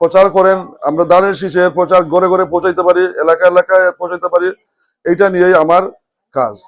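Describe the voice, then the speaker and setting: Recorded with a dry, close sound and no echo, a man speaks in a high pitch with monotone, flat intonation. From England (London), Sylheti family. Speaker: politician. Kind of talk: campaign speech.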